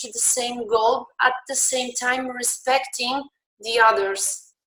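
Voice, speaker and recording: A woman with a Polish accent speaks at a very slow pace in a bright, sharp tone, her high pitch held in fairly even intonation. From Poland. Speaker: beach handball referee. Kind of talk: conference talk. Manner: halting, many fillers and restarts.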